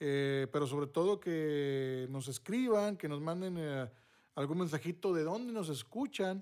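A man talks in a normal speaking voice at a fairly high pitch, with ordinary pitch variation. The recording is very clean, its background silent. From northern Mexico, Monterrey. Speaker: podcast host, former radio announcer. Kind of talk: casual chat.

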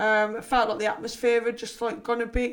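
Her pitch fairly high, a woman talks with a Liverpool accent. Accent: Scouse. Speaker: personal trainer and former swimming teacher. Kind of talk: casual chat. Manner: chatty, laughs often.

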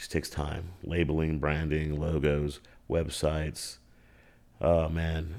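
Very clean and recorded over a silent background, a man speaks with a very deep, low pitch and a dark, mellow tone. He has an American accent and fairly even intonation. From Austin, Texas. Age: 40s. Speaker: comedian. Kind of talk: casual chat.

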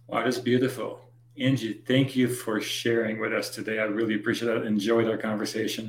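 A man's fairly quick, monotone, flat delivery over noticeable background noise. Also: medium pitch for a man. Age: 50s. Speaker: podcast host. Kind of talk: interview.

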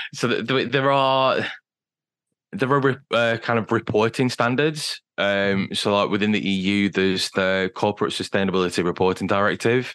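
Over a quiet background, a man with a British accent speaks in a fairly low voice with ordinary pitch variation and very even loudness. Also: moderate pace. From Britain. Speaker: digital sustainability consultant. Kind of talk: interview.

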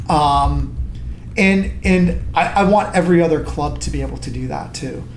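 A man speaks in a Western New York accent. Music plays in the background. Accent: Western New York American. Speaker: soccer club president. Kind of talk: casual interview.

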